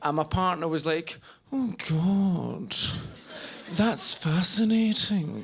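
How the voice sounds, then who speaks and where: Speaking very slowly with long, frequent pauses, a man talks at a high pitch with ordinary pitch variation over noticeable background noise. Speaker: stand-up comedian. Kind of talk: live stand-up comedy. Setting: live comedy club with audience. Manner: conversational, storytelling.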